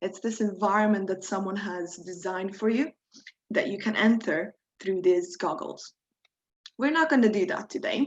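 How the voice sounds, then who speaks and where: With a Croatian accent, a woman talks at a medium pitch. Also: ordinary pitch variation, moderate pace. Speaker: workshop instructor. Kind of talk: tutorial. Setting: video call.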